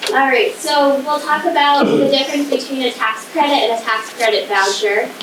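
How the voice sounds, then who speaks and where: Amid noticeable background noise and audible room echo, a woman talks at a moderate pace and high pitch, her loudness very even and her pitch variation ordinary. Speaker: state historic preservation administrator. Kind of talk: presentation. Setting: community hall presentation with audience, no microphone.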